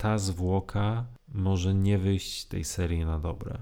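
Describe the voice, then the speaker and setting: Over a very clean, silent background, a man speaks with a very deep, low pitch and a dark, mellow tone, using ordinary pitch variation. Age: 40s. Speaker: podcast co-host, fan site runner. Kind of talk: casual chat.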